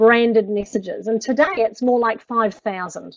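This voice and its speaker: Fairly high in pitch, a woman talks with a strong New Zealand accent. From New Zealand (rural North Island). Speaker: personal branding expert. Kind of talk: webinar presentation. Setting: online webinar.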